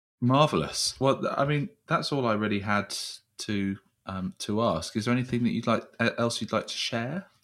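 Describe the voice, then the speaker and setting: At a moderate pace, a man with medium pitch uses lively intonation in a normal speaking voice. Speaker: podcast host. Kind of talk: casual chat. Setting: video call.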